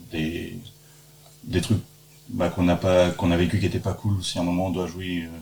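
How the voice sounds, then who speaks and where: A man with a Normandy accent speaks at a moderate pace in a very deep, low pitch, his tone dark and mellow and somewhat breathy. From Normandy, France. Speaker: theatre actor. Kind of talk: casual chat. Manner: halting.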